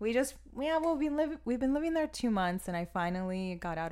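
A woman talks with an American accent. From Miami, Florida. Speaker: textile artist. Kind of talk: interview. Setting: studio.

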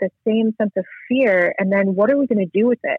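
A woman's fairly high-pitched, plain, everyday voice with ordinary pitch variation. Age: 40s. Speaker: guest speaker sharing life story. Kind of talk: interview testimony. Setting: phone call.

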